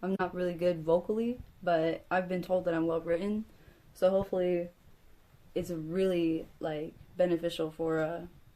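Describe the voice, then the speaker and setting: A woman's fairly low, dark and mellow voice at a moderate pace, with fairly even intonation and long, frequent pauses. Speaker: vlogger. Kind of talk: personal vlog monologue. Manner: stutters sometimes; halting, many fillers.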